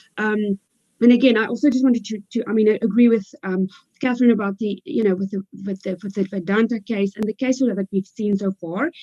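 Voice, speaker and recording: Fairly quick and fairly high in pitch, a woman with a South African accent speaks in a dark, mellow tone with ordinary pitch variation and a dry, close sound with no echo. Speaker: legal expert panelist. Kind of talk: panel discussion. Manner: hesitant, many fillers.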